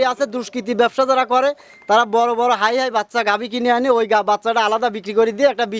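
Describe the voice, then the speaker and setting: A man's extremely high-pitched voice, flat and monotone, in a dry, close sound with no echo. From Bangladesh, Pabna district. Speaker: dairy cattle trader and farm owner. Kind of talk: casual interview.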